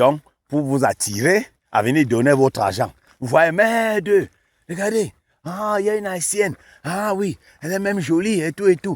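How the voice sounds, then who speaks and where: In a dry, close sound with no echo, a man speaks at a moderate pace in a high, animated voice with lively intonation and long, frequent pauses. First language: not French (African native language) (speaking French). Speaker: YouTube commentator. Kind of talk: casual commentary.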